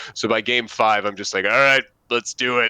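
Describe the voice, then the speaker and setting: Over a quiet background, a man with an American accent talks at a moderate pace with ordinary pitch variation and a bright, sharp tone, the sound dry and close with no echo. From United States. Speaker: tabletop gaming podcast co-host. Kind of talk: casual chat. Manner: hesitant, many fillers.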